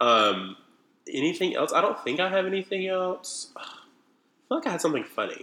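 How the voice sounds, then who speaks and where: An animated man talks at a fairly quick pace, leaving long, frequent pauses. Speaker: podcast co-host, college student. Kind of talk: casual comedic banter. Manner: animated, joking.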